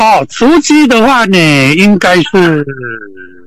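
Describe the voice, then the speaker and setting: Very wide pitch swings run through a man's voice, which sits fairly high. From Taiwan, Hsinchu. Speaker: camper van conversion specialist. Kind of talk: casual interview. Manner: halting, many fillers.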